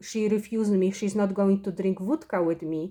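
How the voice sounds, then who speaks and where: With a Polish accent, a woman of medium pitch speaks at a moderate pace in a dark, mellow tone. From Poland. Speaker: spiritual vlogger. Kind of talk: personal monologue. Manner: halting.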